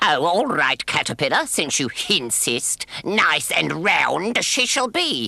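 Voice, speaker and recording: In a cartoonish character voice, a man speaks at a fairly slow pace with a high pitch and very wide pitch swings. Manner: sly, mocking, cackling.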